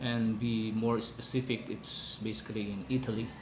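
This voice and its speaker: A man with a non-native accent at a fairly slow pace, fairly even intonation, audible room echo and noticeable background noise. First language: not English. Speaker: hospitality worker explaining wine. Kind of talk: informal educational talk. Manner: hesitant, many fillers.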